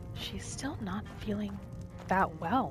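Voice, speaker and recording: With music in the background, a woman speaks in a calm, soothing tone. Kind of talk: ASMR gaming roleplay narration. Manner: calm, soothing, soft-spoken.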